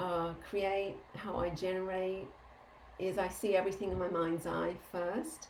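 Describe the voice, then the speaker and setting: A woman's medium-pitched, fairly slow speech with fairly even intonation, in audible room echo. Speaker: energy healing teacher. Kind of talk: live group Q&A session.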